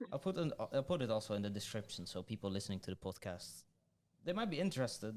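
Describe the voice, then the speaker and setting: A man with a Dutch accent talks at a very fast pace, his pitch fairly low. His intonation is lively, and his loudness swings widely. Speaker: podcast host. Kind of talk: casual podcast interview. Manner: hesitant, many fillers.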